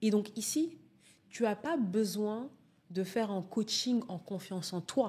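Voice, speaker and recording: Somewhat breathy and dark, mellow in tone, a woman speaks very slowly with fairly high pitch, ordinary pitch variation and long, frequent pauses. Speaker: public speaking coach. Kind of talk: interview answer.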